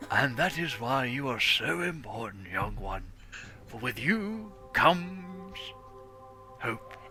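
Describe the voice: A man's put-on character voice, fairly high in pitch, broken by long, frequent pauses over clear music in the background. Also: fairly slow pace.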